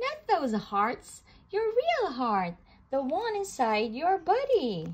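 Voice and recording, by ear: Using a put-on character voice, a woman speaks slowly at a high pitch with very wide pitch swings.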